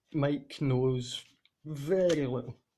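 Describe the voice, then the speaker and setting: Somewhat breathy, a man's fairly high voice keeps a fairly even intonation. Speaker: tabletop game master. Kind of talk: game session recap narration. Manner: stuttering.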